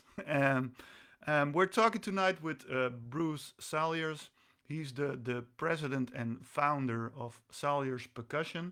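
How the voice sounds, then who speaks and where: A man's bright, sharp tone at a fairly high pitch, with ordinary pitch variation and a very slow pace. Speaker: interview host. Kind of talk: interview. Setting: video call, live stream. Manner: halting, many fillers.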